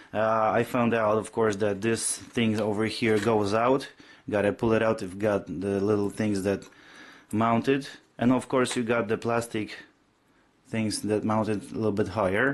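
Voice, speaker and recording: Over a quiet background, a man speaks at a moderate pace. His pitch is fairly low, with fairly even intonation. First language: not English. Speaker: motorcyclist. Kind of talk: casual product review to camera. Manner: hesitant, many fillers.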